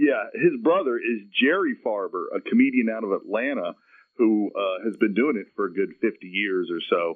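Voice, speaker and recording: Someone with a Southern US accent talks at a moderate pace. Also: man. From US South, Marietta, Georgia. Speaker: comedian. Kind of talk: radio interview.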